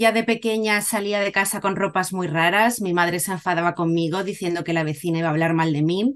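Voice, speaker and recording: A woman speaks in a normal speaking voice at a medium pitch, with ordinary pitch variation. Her pace is fairly quick, with hardly any pauses. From Cádiz, Andalusia, Spain. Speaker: Spanish teacher and musician. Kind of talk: casual interview.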